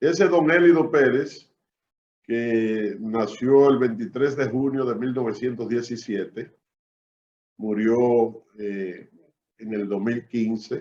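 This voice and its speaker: A man at medium pitch with ordinary pitch variation, at a very slow pace with long, frequent pauses. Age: 60s. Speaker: public servant. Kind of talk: interview, life story.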